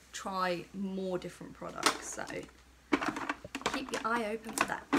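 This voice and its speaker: Loud background noise surrounds a woman speaking at a moderate pace. Her pitch varies in an ordinary way. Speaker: beauty vlogger. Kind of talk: chatty makeup tutorial. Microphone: phone near.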